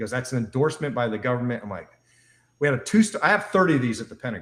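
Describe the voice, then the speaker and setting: A man talks in a somewhat breathy voice, his pitch swinging very widely. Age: 60s. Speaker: wellness device entrepreneur. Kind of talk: interview on a live show. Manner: animated.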